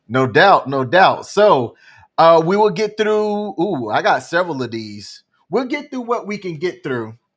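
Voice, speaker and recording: On a very clean recording with a silent background, a man talks at a fairly slow pace in a high pitch, his voice making very wide pitch swings. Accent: Alabama. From Alabama. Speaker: live stream co-host. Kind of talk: casual chat. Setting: live stream.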